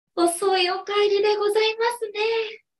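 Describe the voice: Using a put-on character voice, a woman speaks at an extremely high pitch, fairly slowly and in a monotone, flat way.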